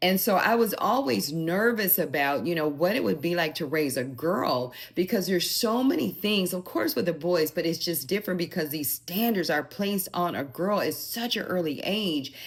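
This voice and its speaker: A woman speaks in an unremarkable speaking voice, fairly low in pitch, with lively intonation. Her pace is moderate, and she hardly pauses at all. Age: 60s. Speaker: lifestyle vlogger and mother. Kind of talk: personal advice monologue. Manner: conversational with filler words.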